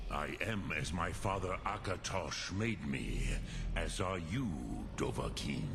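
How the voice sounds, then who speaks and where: Through loud background noise, a man puts on a character voice with a very deep, low pitch, speaking fairly slowly. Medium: game stream. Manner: slow, measured, solemn.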